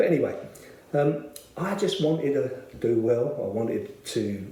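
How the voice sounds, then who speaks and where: A man with a South London accent speaks at a fairly slow pace with lively intonation and audible room echo. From South London, Bermondsey. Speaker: church member. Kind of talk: testimony. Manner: hesitant, many filler words.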